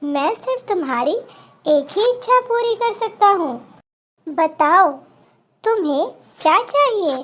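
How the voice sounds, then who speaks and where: Squeaky and very slow, this put-on character voice comes with long, frequent pauses. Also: woman, extremely high pitch for a woman. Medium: read story.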